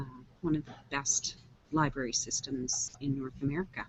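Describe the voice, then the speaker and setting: A soft-spoken woman with a very deep, low pitch, a fairly slow pace and fairly even intonation. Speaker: online show host. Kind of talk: casual chat. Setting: video call from public library. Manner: varied pitch.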